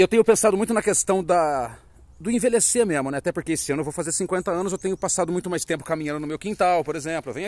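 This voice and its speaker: A man's high-pitched voice at a very fast pace, with a dry sound and no echo. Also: ordinary pitch variation. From Campinas, Brazil. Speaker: comedian. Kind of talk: casual vlog chat. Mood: reflective, conversational. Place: forest. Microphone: phone near.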